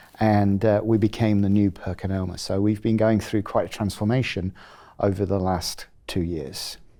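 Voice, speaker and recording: A man with a British accent speaks at a moderate pace in a fairly low pitch, with a dark, mellow tone and fairly even intonation. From England (Rugby). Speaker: chief technology officer of an instrument company. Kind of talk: interview. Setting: at a trade conference. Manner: halting with many fillers.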